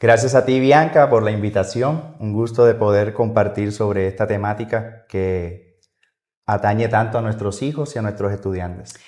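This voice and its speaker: Quiet surroundings and a moderate speaking speed. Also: man, fairly low pitch for a man, ordinary pitch variation. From Colombia. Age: 30s. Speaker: music teacher. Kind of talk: podcast interview.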